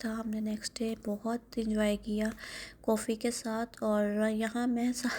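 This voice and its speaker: Her voice is dark, mellow and somewhat breathy as the woman speaks in a monotone, flat intonation. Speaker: vlogger. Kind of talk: vlog voiceover narration.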